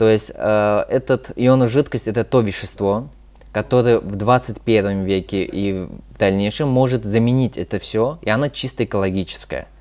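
A man talks at a moderate pace in a fairly low pitch. His pitch varies in an ordinary way. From Moscow, Russia; Russia. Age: 20s. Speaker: youth activist; guest. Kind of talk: interview. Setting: studio. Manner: halting, many fillers. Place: studio.

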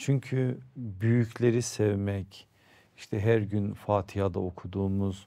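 The voice has a dark, mellow tone and fairly even intonation. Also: man. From Turkey, Erzurum (eastern Anatolia); Turkey. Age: 50s. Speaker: Islamic preacher and foundation founder; interview guest. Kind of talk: interview conversation. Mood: calm, warm storytelling. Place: studio. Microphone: lapel.

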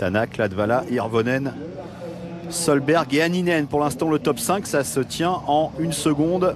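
With lively intonation and very even loudness, a man speaks at a fairly slow pace over noticeable background noise. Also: fairly high pitch for a man. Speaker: race commentator. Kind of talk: live race commentary.

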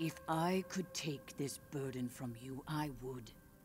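A woman in a put-on character voice speaks at a fairly slow pace with a very deep, low pitch and ordinary pitch variation, over clear background music. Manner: concerned, grave.

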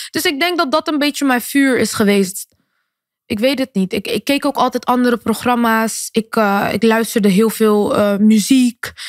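Heard dry with no echo over a quiet background, the speaker keeps a moderate pace and ordinary pitch variation. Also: woman. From Netherlands, Rotterdam; Netherlands. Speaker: singer and influencer; podcast guest. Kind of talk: interview. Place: studio. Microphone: studio mic.

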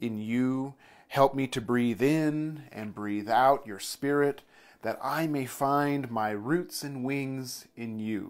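Speaking at a very slow pace, a man uses a calm, warm tone with ordinary pitch variation. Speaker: church leader. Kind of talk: fervent prayer, led aloud to a congregation. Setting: online video for church community. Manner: slow, calm, reverent, deliberate; warm, gentle, soothing. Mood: calm, reverent. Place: home room. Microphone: lapel.

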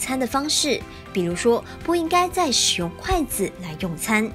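With music in the background, a woman speaks at a moderate pace and fairly high pitch, with very wide pitch swings. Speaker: news reporter. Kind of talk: TV news voice-over.

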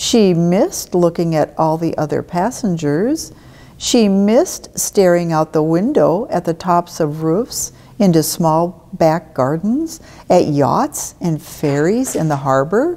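A woman speaks at a very slow pace, her pitch fairly low and her tone dark and mellow. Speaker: storyteller. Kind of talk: children's story read-aloud. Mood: warm, gentle storytelling. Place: church.

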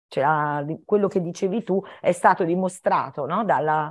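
A woman at a fairly low pitch, moderate pace and ordinary pitch variation, against a quiet background. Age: 60s. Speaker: children's author and teacher; teacher. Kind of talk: talk for schoolchildren. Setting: video call. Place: home room. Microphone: video call.

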